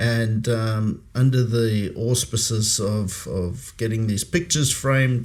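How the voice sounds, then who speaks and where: With an American accent, a man talks at a medium pitch. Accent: South African with slight American twang. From South Africa, Pretoria. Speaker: podcast host, former intelligence operative. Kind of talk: podcast conversation. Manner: halting, many fillers.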